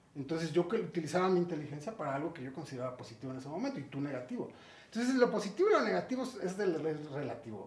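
A man's very fast speech at a fairly high pitch, with very wide pitch swings, big swings in loudness, audible room echo and noticeable background noise. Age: 40s. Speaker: recovering addict. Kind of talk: interview testimony.

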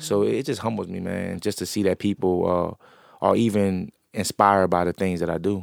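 A man with an American accent speaks at a moderate pace, hardly pausing at all. His very deep, low voice has a dry, close sound with no echo. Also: ordinary pitch variation, very clean recording, silent background. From New Orleans. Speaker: entrepreneur. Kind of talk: interview.

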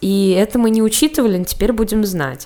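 Noticeable background noise runs behind the speech. The pitch varies in an ordinary way. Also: woman. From Russia, Samara. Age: 20s. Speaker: podcast co-host. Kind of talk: casual chat.

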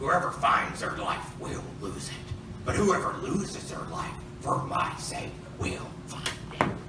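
A put-on character voice moves at a fairly slow pace with slight echo and loud background noise. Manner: odd inverted phrasing, croaky.

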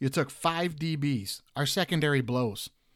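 A man with an American accent and ordinary pitch variation, in a very clean recording with a silent background. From Detroit, Michigan. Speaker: sports podcast host. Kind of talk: casual sports talk. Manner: animated.

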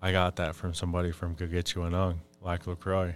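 Over music in the background, a man with an American accent speaks at a very deep, low pitch in a monotone, flat intonation. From Minnesota, Fond du Lac reservation. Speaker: Ojibwe spiritual advisor and language worker. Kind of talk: casual interview conversation. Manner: halting, frequent fillers.

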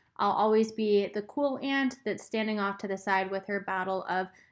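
A woman's normal speaking voice at a medium pitch and moderate pace, with fairly even intonation, against a quiet background. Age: 20s. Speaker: podcast host. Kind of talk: solo advice podcast monologue. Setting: recording alone. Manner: casual, frequent ums and laughter.

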